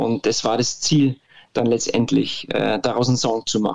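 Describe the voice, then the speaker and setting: A man talks at a fairly quick pace. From Bavaria, Munich. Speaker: indie band singer. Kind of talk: interview. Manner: halting, many fillers.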